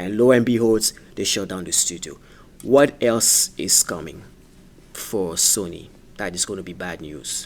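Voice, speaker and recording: A man with a French accent speaks fairly slowly in a fairly low voice with ordinary pitch variation. His loudness swings widely, and he takes long, frequent pauses. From France. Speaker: gaming YouTuber. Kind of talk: casual video commentary. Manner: halting, many fillers.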